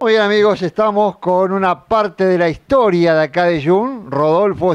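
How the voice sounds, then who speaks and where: A high-pitched man speaking at a fairly slow pace. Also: dry, close sound with no echo. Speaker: TV farm program host. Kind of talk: interview; TV program presenting. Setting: outdoors at the railway station.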